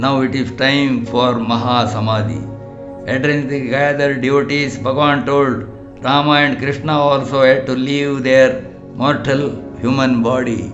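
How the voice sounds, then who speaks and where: Music plays in the background as a man speaks at a moderate pace. His medium-pitched voice has monotone, flat intonation. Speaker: spiritual teacher. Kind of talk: audiobook narration.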